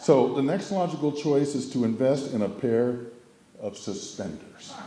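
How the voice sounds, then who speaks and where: With audible room echo and noticeable background noise, a man at medium pitch talks at a moderate pace with lively intonation. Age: 70s. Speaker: family member giving a memorial speech. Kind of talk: humorous memorial speech.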